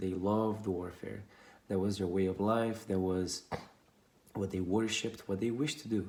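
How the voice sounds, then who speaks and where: A man with a non-native accent speaks at a moderate pace. His pitch sits fairly low. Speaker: storyteller. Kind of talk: storytelling. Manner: informal, with some hesitations.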